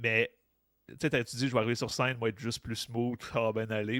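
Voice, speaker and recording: Medium-pitched male voice, dry and close with no echo. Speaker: comedian and podcast host. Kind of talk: casual chat. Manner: mumbling.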